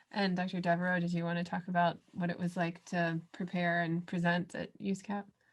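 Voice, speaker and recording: Somewhat breathy and fairly low in pitch, a woman speaks in a monotone, flat intonation. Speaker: pathologist, webinar moderator. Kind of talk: panel discussion. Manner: talks fast when nervous.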